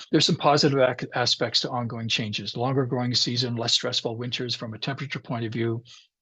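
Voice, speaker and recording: Speaking in a Canadian Prairie accent, a man goes at a fairly quick pace with a medium pitch and ordinary pitch variation. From Canadian Prairies, Regina, Saskatchewan. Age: 60s. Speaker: climate scientist. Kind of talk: lecture.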